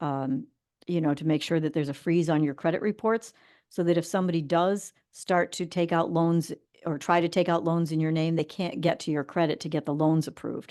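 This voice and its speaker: A woman with a normal speaking voice talks at a fairly quick pace in a fairly low pitch over a quiet background. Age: 60s. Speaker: financial advice show host. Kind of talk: casual chat. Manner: conversational, with frequent fillers.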